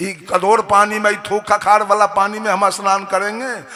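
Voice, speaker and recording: A man projects a raised, high-pitched voice. Noticeable background noise runs underneath. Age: 60s. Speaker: religious preacher. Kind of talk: sermon. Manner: animated.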